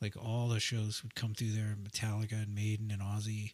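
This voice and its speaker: A man speaks in a plain, everyday voice with a medium pitch at a fairly quick pace. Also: very clean recording, silent background. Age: 40s. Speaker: musician in a rock band. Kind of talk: casual chat.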